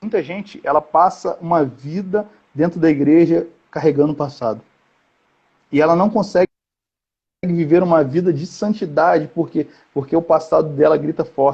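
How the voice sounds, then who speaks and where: Long, frequent pauses break up a man's speech, which has ordinary pitch variation. His pitch is fairly high, his tone dark and mellow. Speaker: youth conference preacher. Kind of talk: sermon. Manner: fast; animated.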